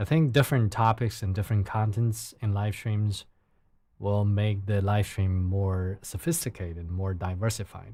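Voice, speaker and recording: A man's fairly low, somewhat breathy voice with a Chinese accent at a moderate pace, on a very clean recording with a silent background. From China. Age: 30s. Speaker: live streamer. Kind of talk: casual live stream chat. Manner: halting; calm.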